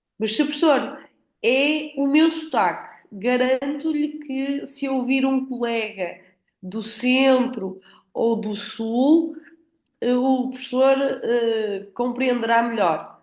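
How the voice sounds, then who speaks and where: In a strong northern Portuguese accent, a woman speaks very slowly at a high pitch with ordinary variation, with audible room echo. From northern Portugal. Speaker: academic moderator. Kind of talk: panel moderation.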